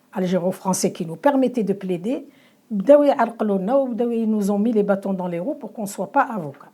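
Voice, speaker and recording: Her tone is dark and mellow. The woman speaks with lively intonation. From Algeria. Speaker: lawyer and writer. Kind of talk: interview. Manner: halting, many repetitions and fillers.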